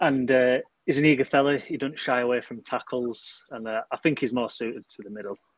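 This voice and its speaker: A man with a normal speaking voice talks fairly quickly at a medium pitch, his intonation fairly even but his loudness swinging widely. The sound is dry and close with no echo, over a quiet background. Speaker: football fan panellist.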